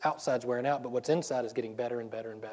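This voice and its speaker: A man talks in a Southern US accent. His intonation stays fairly even. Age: 40s. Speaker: pastor. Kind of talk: sermon. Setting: church. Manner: fast talker.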